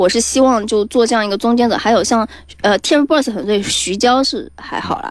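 A woman speaks at a fairly quick pace with an energetic tone. Her pitch sits fairly high, with ordinary variation. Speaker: startup founder. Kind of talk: startup pitch interview. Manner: lively, energetic.

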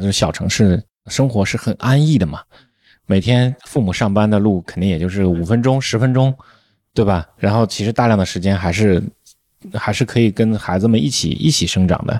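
A man with an unremarkable speaking voice, fairly low in pitch, talks at a moderate pace with ordinary pitch variation in a dry, close sound with no echo. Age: 40s. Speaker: podcast host, veteran journalist. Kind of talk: casual chat.

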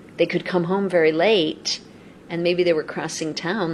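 Against noticeable background noise, a woman talks at a moderate pace in a fairly low pitch with fairly even intonation. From US West Coast, Los Angeles. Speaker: embassy arts and culture official. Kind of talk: interview.

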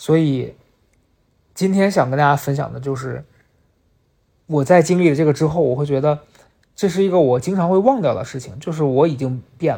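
Speech comes at a fairly quick pace but is broken by long, frequent pauses. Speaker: podcast host. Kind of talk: solo personal storytelling monologue.

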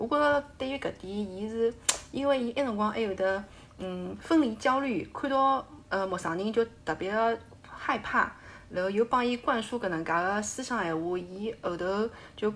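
A woman speaks at a moderate pace with a fairly high pitch and lively intonation. She has a plain, everyday voice. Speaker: full-time mother. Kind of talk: casual chat.

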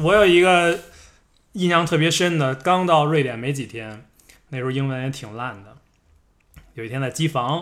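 A fairly high-pitched man speaks at a moderate pace, with long, frequent pauses and big swings in loudness. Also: ordinary pitch variation. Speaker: podcast co-host. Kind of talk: casual chat. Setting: at a friend's home.

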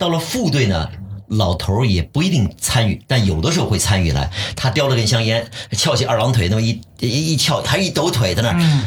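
A man at medium pitch, fairly quick, with very wide pitch swings and very even loudness, amid noticeable background noise. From Shanghai. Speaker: voice actor and TV sports presenter. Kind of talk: casual chat.

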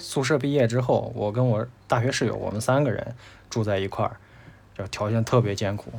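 An ordinary speaking voice, this man talks at a moderate pace with medium pitch and fairly even intonation. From Tianshui, Gansu, northwest China. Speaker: graphic designer, podcast guest. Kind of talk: casual interview chat.

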